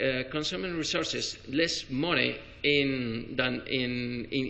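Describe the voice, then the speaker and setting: Heard with audible room echo, a man speaks in a Spanish accent with fairly even intonation. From Spain. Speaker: spine surgeon. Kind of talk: conference talk. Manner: halting, many fillers and restarts.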